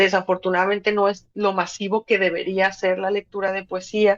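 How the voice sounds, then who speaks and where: With a Mexican accent, a woman speaks at a moderate pace in a dry, close sound with no echo. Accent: Mexican accent, noticeable in Spain. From Mexico, Guadalajara. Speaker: poet and radio presenter. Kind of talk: interview conversation. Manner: animated.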